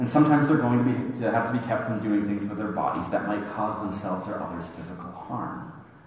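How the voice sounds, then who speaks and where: A man's fairly low voice at a very fast pace, hardly any pauses, ordinary pitch variation, and noticeable background noise. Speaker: minister giving a sermon. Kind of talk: sermon delivered to a congregation. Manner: conversational, explanatory.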